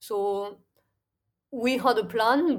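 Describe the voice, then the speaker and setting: A woman speaks in a French accent. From southern France, near Toulouse. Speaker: crypto trading firm co-founder. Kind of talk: interview. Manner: hesitant, many fillers.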